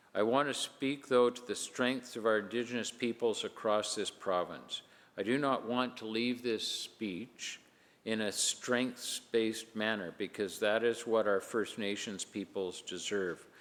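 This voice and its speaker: A man talks at a fairly slow pace in an ordinary speaking voice, with medium pitch and fairly even intonation. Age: 60s. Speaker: provincial legislator. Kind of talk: parliamentary speech. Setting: legislative chamber. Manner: formal.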